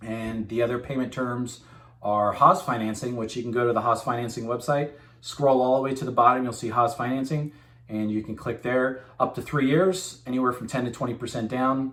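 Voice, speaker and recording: Fairly quick speech from a man at medium pitch, with fairly even intonation. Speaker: machine tool sales rep. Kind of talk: informal video message to customers. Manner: fast; casual, filler-heavy.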